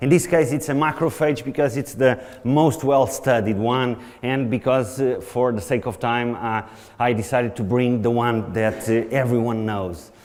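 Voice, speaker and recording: A man speaks with a Portuguese accent. His pitch is medium, with ordinary variation. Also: moderate pace. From Portugal. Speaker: researcher lecturer. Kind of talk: conference lecture.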